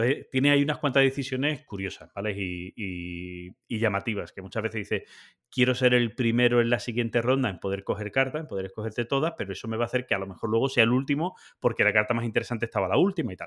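A man's medium pitch varies in an ordinary way as he talks very fast. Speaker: board game podcast host. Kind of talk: casual chat. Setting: video call.

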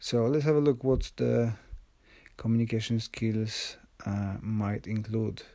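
At a fairly slow pace, a man speaks in a dark, mellow tone of medium pitch with fairly even intonation. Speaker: podcast host. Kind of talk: solo monologue. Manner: many fillers and hesitations.

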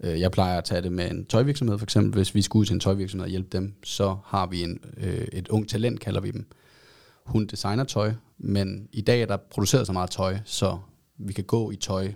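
Over a very clean recording with a silent background, a man with an unremarkable speaking voice and fairly low pitch talks at a moderate pace with fairly even intonation. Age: 30s. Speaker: advertising agency co-founder. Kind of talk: casual interview.

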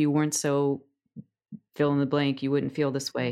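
With an American accent, a woman speaks in a very deep, low pitch with monotone, flat intonation. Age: 40s. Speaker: somatic coach. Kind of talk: interview conversation.

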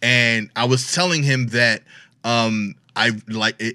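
A man's medium-pitched, bright and sharp voice with a New York accent and fairly even intonation, on a very clean recording with a silent background. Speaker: comedian. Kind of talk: casual chat.

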